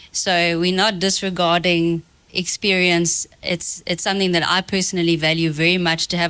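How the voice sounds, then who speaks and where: Her voice is fairly low in pitch with a bright, sharp tone, and this woman speaks at a moderate pace in a monotone, flat intonation, with a dry, close sound that has no echo. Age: young. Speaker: young insurance professional panelist. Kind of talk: panel discussion.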